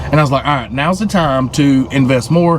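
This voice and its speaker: A man with a Southern US accent talks at a fairly quick pace. There is noticeable background noise. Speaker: truck driver and crypto vlogger. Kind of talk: casual vlog monologue. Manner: casual, halting with fillers.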